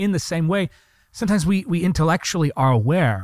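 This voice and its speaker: The man's intonation is lively, and his pace stays moderate. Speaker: preacher. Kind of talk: fervent prayer. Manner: impassioned, intimate; earnest, persuasive.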